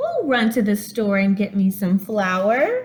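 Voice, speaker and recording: A woman puts on a character voice at medium pitch, speaking at a fairly slow pace. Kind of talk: bedtime story. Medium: read story. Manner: brisk, self-reliant.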